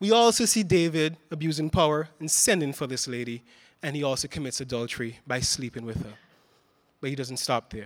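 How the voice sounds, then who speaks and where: Over a silent background on a very clean recording, a man speaks with lively intonation. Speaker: pastor. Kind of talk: sermon. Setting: church.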